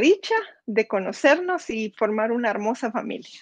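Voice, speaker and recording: Over a quiet background, a woman with a Guatemalan accent speaks at a moderate pace in a fairly high voice with ordinary pitch variation. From Guatemala, Zacapa. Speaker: near-death experience survivor; interview guest. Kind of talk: testimony. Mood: personal, emotional story. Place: home room. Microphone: video call.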